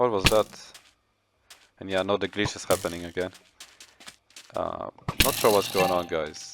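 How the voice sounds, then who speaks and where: With a non-native accent, a man with a fairly low pitch speaks at a moderate pace with fairly even intonation, long, frequent pauses and big swings in loudness. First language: not English. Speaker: gaming youtuber. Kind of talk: gameplay commentary. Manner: halting.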